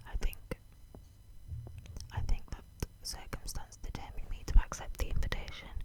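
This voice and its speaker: Whispering at a moderate pace, a woman leaves long, frequent pauses while her loudness swings widely. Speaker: ASMR creator. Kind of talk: audiobook-style reading of a classic novel, ASMR. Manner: whispered, soft.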